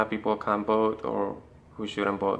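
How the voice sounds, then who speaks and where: Fairly low-pitched and with a Spanish accent, a man talks at a moderate pace in a bright, sharp tone with monotone, flat intonation. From Panama. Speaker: interviewee. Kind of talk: street interview.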